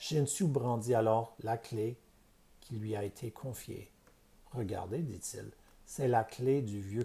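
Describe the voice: The speaker is plain reading aloud. Pitch variation is ordinary.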